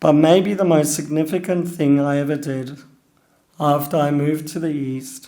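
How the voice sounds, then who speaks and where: A man with an Australian accent, a fairly high pitch, a dark, mellow tone, monotone, flat intonation and a fairly slow pace. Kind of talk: personal talk.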